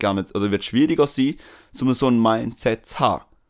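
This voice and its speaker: The recording is very clean, with a silent background. A man speaks at a fairly quick pace with a medium pitch and ordinary pitch variation. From Switzerland, Tamil family. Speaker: podcast co-host. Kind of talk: casual chat.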